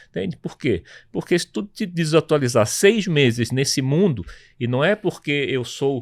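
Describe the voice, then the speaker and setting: A man's voice swings very widely in pitch as he speaks at a moderate pace on a very clean recording with a silent background. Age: 60s. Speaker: tech entrepreneur. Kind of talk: panel discussion.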